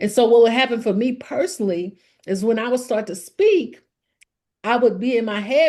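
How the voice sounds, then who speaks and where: In a Southern US accent, a woman with a fairly high pitch and a dark, mellow tone speaks with ordinary pitch variation. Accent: southern drawl. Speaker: speaker sharing personal story.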